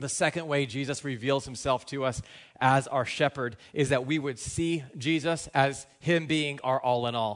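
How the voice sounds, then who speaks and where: This man has an unremarkable speaking voice, fairly high in pitch with ordinary variation. He talks at a fairly slow pace over a quiet background. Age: 30s. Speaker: pastor. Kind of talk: sermon. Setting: church.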